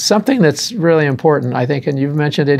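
His voice, a man's, runs fairly high in pitch. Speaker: drum show host. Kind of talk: interview. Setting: studio. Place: studio. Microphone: lapel.

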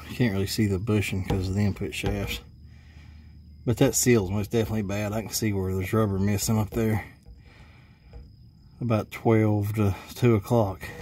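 A somewhat breathy man's voice, fairly low in pitch, at a moderate pace in a flat monotone, with long, frequent pauses and light background noise. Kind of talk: casual repair tutorial. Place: garage. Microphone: phone near.

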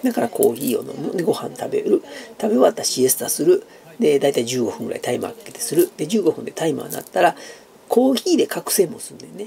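A man talking at a very fast pace in a Kansai accent, over light background noise. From Japan. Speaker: YouTuber; vlogger. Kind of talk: casual chat. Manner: hesitant with many fillers. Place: home room. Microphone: phone near.

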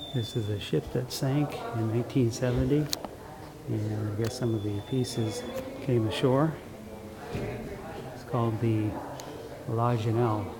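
Against loud background noise, a man talks at a very slow pace with long, frequent pauses. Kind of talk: casual vlog chat. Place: hall. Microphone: phone near.

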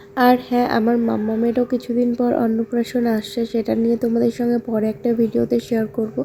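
Over noticeable background noise, a woman talks at a fairly high pitch with monotone, flat intonation and very even loudness. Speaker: family vlogger. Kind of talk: vlog narration.

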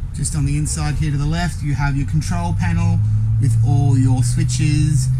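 A man's voice with noticeable background noise. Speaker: salesperson showing a caravan. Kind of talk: walkthrough tour commentary. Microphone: phone near.

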